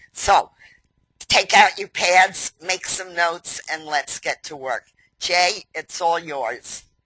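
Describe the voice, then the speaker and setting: Speaking at a very slow pace, a woman with a fairly low pitch and ordinary pitch variation has a bright, sharp tone and big swings in loudness, recorded dry and close with no echo. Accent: New York. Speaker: company president hosting webinar. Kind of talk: webinar introduction. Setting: online webinar.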